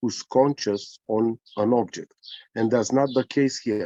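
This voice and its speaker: This man's voice sits at a medium pitch, with a Romanian accent, ordinary pitch variation, a dark, mellow tone and a dry, close sound with no echo. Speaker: spiritual teacher. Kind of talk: casual chat. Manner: halting.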